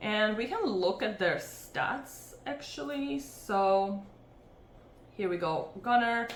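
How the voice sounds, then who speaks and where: Over noticeable background noise and audible room echo, a woman with a non-native accent and medium pitch speaks at a very slow pace with lively intonation. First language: not English. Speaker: MMA fight analyst, channel host. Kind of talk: fight picks breakdown. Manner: casual, hesitant with many fillers.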